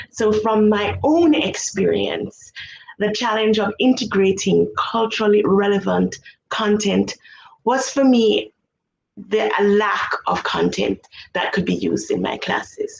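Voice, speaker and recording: The speech moves at a fairly slow pace. It comes with a Jamaican accent. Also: woman. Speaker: music education researcher. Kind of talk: conference presentation.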